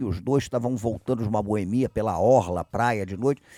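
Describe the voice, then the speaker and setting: Very fast speech with a dark, mellow tone and ordinary pitch variation, dry and close with no echo, on a very clean recording with a silent background. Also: man. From Rio de Janeiro, Brazil. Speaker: podcast co-host, historian. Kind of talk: casual chat.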